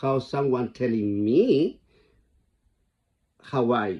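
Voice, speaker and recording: A man speaks with a strong Chilean accent. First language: Spanish. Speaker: vlogger. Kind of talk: casual monologue. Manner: halting, repetitive.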